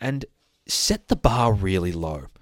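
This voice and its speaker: Lively in intonation, a man with an Australian accent speaks at a fairly low pitch in a very clean recording with a silent background. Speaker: dog trainer podcast host. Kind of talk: casual monologue. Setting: studio. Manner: rambling, many fillers.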